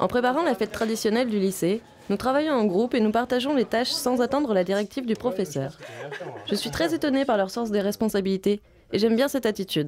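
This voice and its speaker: Over noticeable background noise, a woman talks very fast at a fairly high pitch, with lively intonation and very even loudness. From Vietnam, Ho Chi Minh City. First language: Vietnamese (speaking French). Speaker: film student. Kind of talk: scripted narration.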